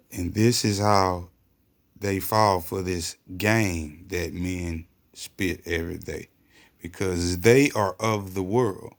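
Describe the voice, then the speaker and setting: A man with a very deep, low voice at a very slow pace, in a very clean recording with a silent background. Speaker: religious commentator. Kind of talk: religious commentary video. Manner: animated.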